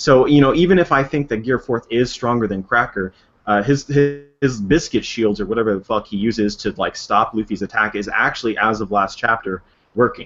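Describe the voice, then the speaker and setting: Music plays in the background as a man with an American accent talks at a fairly quick pace. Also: medium pitch for a man, ordinary pitch variation. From United States. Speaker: YouTuber, anime theorist. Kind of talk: casual chat. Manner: animated.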